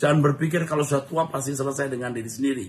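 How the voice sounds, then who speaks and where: A man's somewhat breathy voice. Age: 60s. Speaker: pastor. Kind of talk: Q&A answering read-out viewer questions in live stream. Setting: live stream.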